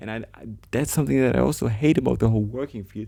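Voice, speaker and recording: A man with a German accent speaks in a dark, mellow tone. The recording is very clean, with a silent background. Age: 20s. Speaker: vlogger, trader. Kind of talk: casual vlog monologue. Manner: halting, many restarts and fillers.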